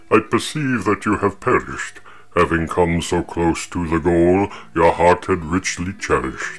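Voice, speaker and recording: A man speaks in a put-on character voice with a very deep, low pitch. He keeps a moderate pace over clear music in the background. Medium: read story. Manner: grand, theatrical.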